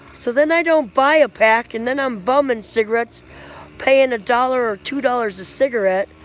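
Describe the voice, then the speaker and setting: Speaking loudly at a moderate pace, the woman has a high pitch that varies in an ordinary way. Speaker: livestream vlogger. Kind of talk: casual chat.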